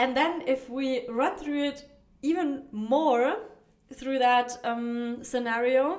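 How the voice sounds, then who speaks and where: In a non-native accent, a woman speaks very slowly at a high pitch with ordinary pitch variation, and the room echo is audible. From not America. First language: not English. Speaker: dating coach podcaster. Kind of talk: solo podcast monologue. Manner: casual, with many fillers and restarts.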